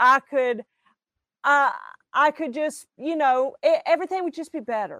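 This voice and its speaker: High-pitched woman with a Southern US accent, a raised, projected voice and a bright, sharp tone, at a moderate pace with long, frequent pauses and ordinary pitch variation, in a dry, close sound with no echo. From Alabama. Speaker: singer and minister. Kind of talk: testimony.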